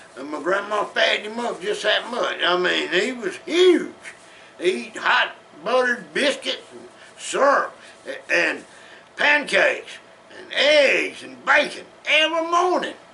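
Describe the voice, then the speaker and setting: A man with an American accent speaks at a fairly slow pace, his loudness swinging widely. Noticeable background noise and audible room echo fill the recording. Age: 70s. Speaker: storyteller. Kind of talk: casual storytelling. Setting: at home in den. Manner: folksy, halting.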